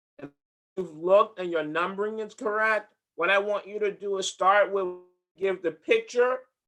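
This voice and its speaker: A man's high-pitched, raised and projected voice, bright and sharp in tone, at a fairly slow pace. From from another country, not US-born. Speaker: HR director leading a workshop. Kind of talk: interactive workshop presentation. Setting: video call with screen share.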